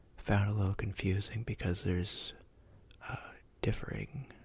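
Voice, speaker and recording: The voice is whispering. Its tone is relaxed. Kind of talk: ASMR fact reading. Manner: soft-spoken, relaxed.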